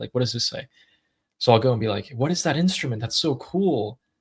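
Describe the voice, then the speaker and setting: A man with an American accent speaks at a very fast pace, his medium pitch showing ordinary variation and his voice somewhat breathy. The recording is very clean, with a silent background. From California. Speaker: YouTuber hosting a live discussion. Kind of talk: casual live stream chat.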